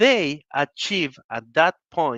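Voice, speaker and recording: A man's fairly high, bright, sharp voice with lively intonation, dry and close with no echo, over a quiet background. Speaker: webinar presenter. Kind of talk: webinar presentation.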